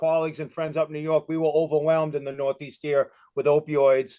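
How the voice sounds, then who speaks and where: A man with a Boston accent talks at a fairly quick clip in a fairly high pitch, the sound dry and close with no echo. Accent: Boston accent, noticeable. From Massachusetts, Boston area. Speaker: retired police chief. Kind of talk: presentation on video call. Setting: video call. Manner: fast; many fillers and repetitions.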